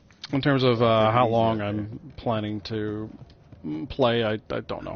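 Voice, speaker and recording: Quiet and fairly slow, a man talks at medium pitch with ordinary pitch variation. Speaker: video game streamer. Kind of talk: casual commentary while playing a game. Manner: tends to get quieter.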